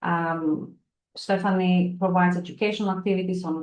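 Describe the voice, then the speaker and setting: At a moderate pace, a woman with a non-native accent talks at a medium pitch, her intonation fairly even. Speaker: event chair. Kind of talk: lecture introduction. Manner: halting, many fillers.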